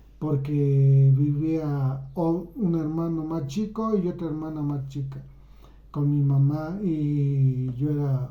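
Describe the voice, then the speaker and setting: Slowed to a very slow pace, a man's fairly high voice has a dark, mellow tone and fairly even intonation amid audible room echo. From Mexico. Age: 60s. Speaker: YouTuber. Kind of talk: personal storytelling. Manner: halting.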